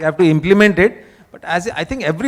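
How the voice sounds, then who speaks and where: Lively intonation marks a man speaking at a very fast pace. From India, Delhi. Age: 60s. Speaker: panel moderator. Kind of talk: panel discussion. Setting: conference with audience.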